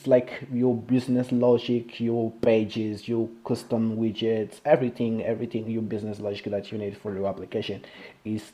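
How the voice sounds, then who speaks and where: A man with a non-native accent speaks. His pitch is medium and his pace moderate. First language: Portuguese. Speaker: software developer, live streamer. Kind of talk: live-stream technical walkthrough. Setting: live stream. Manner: halting, many fillers and restarts.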